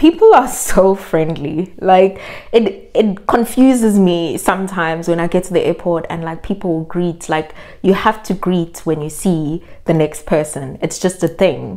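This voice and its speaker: A woman with a Zulu accent speaks at a fairly slow pace. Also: fairly low pitch for a woman, ordinary pitch variation. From South Africa, Durban. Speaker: vlogger. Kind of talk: casual vlog monologue. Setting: in South Africa.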